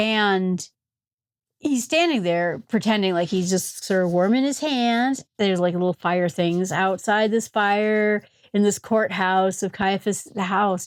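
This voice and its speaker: Speaking fairly slowly in an Upper Michigan accent, a woman keeps a medium pitch and very even loudness. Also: ordinary pitch variation, very clean recording, silent background. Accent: Yooper. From US Upper Midwest, Michigan Upper Peninsula. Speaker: Bible teacher. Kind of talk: Bible study talk. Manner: animated, conversational.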